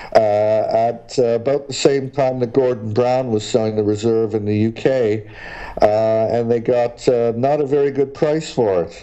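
A man speaks at a medium pitch and a fairly slow pace, with hardly any pauses and fairly even intonation. Noticeable background noise is present. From Canada, schooled in Great Britain. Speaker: exploration geologist. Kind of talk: interview. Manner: hesitant, many fillers.

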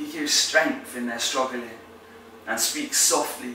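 A man speaks at a fairly slow pace in a passionate tone. Light background noise and audible room echo can be heard. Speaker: spoken word poet. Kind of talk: performed spoken-word poem, faith-based. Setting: poetry competition entry. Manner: rhythmic, emphatic delivery with alliteration and rhyme; passionate, building, declamatory. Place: home room.

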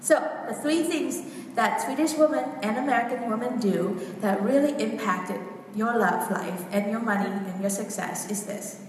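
Lively intonation marks a woman's fairly high voice at a moderate pace. Light background noise and audible room echo sit behind her. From Vietnam. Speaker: women's coach. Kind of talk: workshop talk. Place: hall. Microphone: camera far.

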